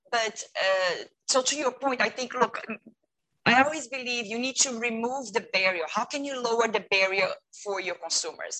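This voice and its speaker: A woman with a Portuguese accent speaks at a moderate pace in a fairly high, bright, sharp voice with ordinary pitch variation. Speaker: retail customer experience consultant. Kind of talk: interview. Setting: video call. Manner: animated.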